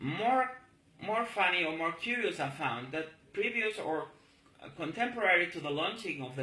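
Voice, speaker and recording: Lively intonation marks this man's speech at a moderate pace. Noticeable background noise is present. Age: 40s. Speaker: political activist. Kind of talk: political monologue video. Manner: halting.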